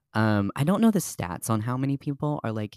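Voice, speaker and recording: A man with an American accent and a plain, everyday voice, lively intonation at a fairly quick pace, in a dry, close sound with no echo. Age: 20s. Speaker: podcast host, author. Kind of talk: casual chat.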